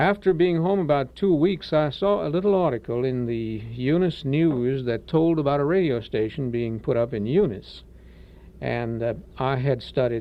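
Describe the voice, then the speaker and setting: A man with a slight Cajun accent speaks at medium pitch. His pace is moderate and his intonation lively. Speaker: radio station manager. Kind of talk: interview. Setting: radio studio. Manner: hesitant, many filler words.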